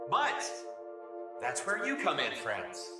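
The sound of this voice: Speaking slowly in a put-on character voice, a man swings his fairly high pitch very widely, with audible room echo and clear music in the background.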